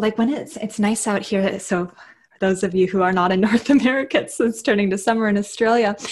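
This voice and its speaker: A woman's somewhat breathy, fairly high voice with a Canadian accent at a very fast pace, over a quiet background. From Canada. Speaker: clinical psychologist and yoga instructor; yoga instructor. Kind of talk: casual interview. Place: home room.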